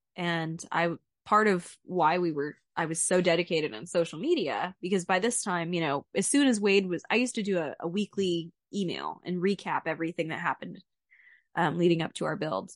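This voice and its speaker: In an American accent, a woman speaks at a fairly quick pace and a fairly low pitch with ordinary pitch variation, her voice dry and close with no echo against a quiet background. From Central Texas. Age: 20s. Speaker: podcast co-host, home builder. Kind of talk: personal storytelling.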